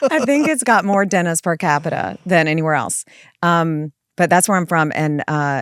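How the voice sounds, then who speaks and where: Speaking at a moderate pace with a Southern US accent, a woman uses lively intonation in a fairly low voice, recorded dry and close with no echo against a very clean, silent background. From South Carolina (Florence). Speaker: family law attorney and firm founder. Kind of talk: casual podcast interview.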